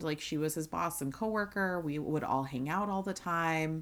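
A woman's ordinary speaking voice, fairly low in pitch, in a very clean recording with a silent background. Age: 30s. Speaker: podcast co-host. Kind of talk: casual chat.

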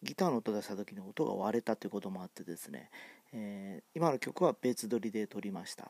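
In a very clean recording with a silent background, a man speaks at a fairly low pitch with lively intonation and big swings in loudness. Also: fairly quick pace. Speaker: amateur podcaster. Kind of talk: casual monologue. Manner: halting, many fillers; fast at times.

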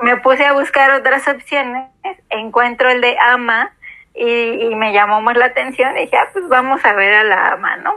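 In a Mexican accent, a woman talks at a moderate pace with a high pitch. Her pitch varies in an ordinary way. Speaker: podcast host. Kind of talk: casual chat.

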